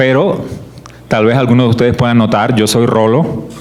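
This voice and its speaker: Over noticeable background noise and audible room echo, a man talks at a fairly quick pace with a medium pitch. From Colombian Caribbean coast (Barranquilla). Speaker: creationist ministry speaker. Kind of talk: church teaching talk.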